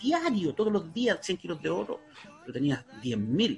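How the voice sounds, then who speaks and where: A man delivers his words fairly slowly as music plays behind him. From Chile, Talcahuano. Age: 40s. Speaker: researcher of Mapuche culture, fisheries engineer. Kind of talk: interview.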